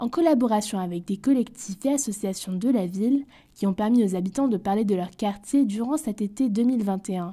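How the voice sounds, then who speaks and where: A somewhat breathy woman's voice, fairly high in pitch, with a dark, mellow tone, ordinary pitch variation and a moderate pace, on a very clean recording with a silent background. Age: young. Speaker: podcast host. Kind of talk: scripted narration.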